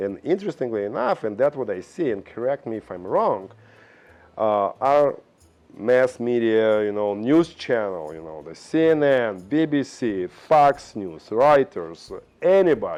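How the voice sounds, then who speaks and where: With a Russian accent, a man at medium pitch talks at a fairly slow pace, his pitch swinging very widely. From Belarus. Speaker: vlogger. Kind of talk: opinion monologue. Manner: halting.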